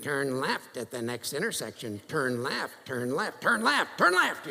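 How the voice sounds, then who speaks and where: Putting on a character voice, a man speaks at medium pitch and a moderate pace over light background noise. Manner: repetitive, nagging.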